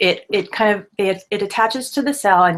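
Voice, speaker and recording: Speaking at a very slow pace, a woman uses lively intonation at a medium pitch. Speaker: skincare blogger. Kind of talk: casual tutorial to camera. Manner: stammering, hesitant; gestures a lot while talking.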